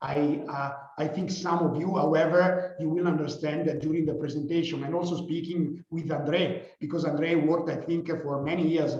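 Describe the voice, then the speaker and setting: Noticeable background noise and audible room echo surround this speaker. He is a man with a fairly high pitch and fairly even intonation. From Italy. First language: Italian. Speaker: company founder and CEO. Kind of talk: guest lecture. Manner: halting, many fillers.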